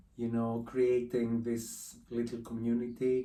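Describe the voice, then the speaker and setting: Speaking in a Greek accent, a man has a dark, mellow tone at a medium pitch. His intonation is monotone and flat, and his pace is fairly slow. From Greece. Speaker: artist. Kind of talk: casual interview. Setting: his art studio.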